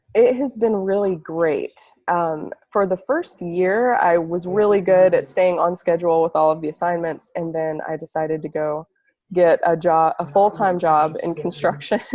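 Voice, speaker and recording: Her tone dark and mellow, a woman with a fairly low pitch speaks at a moderate pace with ordinary pitch variation. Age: 20s. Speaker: ayurveda student. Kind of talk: interview.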